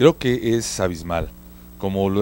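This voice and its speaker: There is light background noise as a man speaks, and the sound is dry with no echo. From Mexico City. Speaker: market research consultant; guest. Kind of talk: casual chat. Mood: relaxed, reminiscing. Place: studio. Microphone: handheld.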